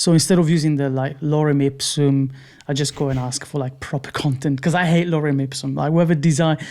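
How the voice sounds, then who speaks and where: A man with a non-native accent talks at a fairly quick pace in a fairly high pitch, his tone dark and mellow and his intonation monotone and flat. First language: not English. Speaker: UI/UX designer. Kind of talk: podcast interview answer.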